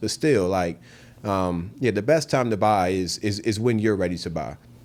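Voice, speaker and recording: Pitched fairly low, a man talks with ordinary pitch variation. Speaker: realtor. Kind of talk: casual interview. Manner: fast.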